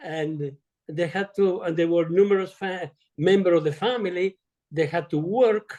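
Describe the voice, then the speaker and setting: A man with an Italian accent speaks at a very slow pace in a high pitch. His tone is dark and mellow, and his intonation stays fairly even. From Italy. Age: 80s+. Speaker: retired surgeon. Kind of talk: interview. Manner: halting.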